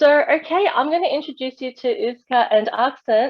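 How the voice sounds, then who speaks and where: Lively intonation with an Australian accent. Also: woman. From Australia, western Sydney. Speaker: festival host. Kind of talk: online event hosting. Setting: video call.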